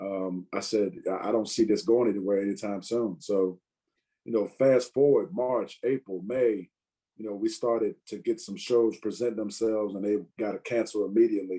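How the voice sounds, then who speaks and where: The voice has a dark, mellow tone and a moderate pace. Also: man. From Virginia, US. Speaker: stand-up comedian. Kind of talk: casual interview chat. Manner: many fillers (you know, um).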